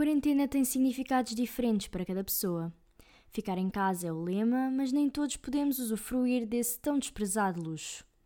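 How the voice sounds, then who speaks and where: Over a silent background in a very clean recording, a woman speaks at a moderate pace with a high pitch, lively intonation and a dark, mellow tone. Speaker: reporter. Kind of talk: scripted narration.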